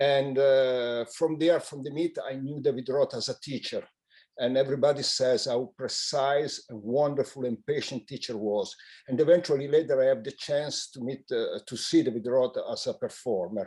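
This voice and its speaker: A man speaks in an Italian accent at a moderate pace, his dark, mellow voice pitched fairly high. His intonation stays fairly even while his loudness swings widely. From Italy. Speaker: magician. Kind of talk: memorial tribute. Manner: halting.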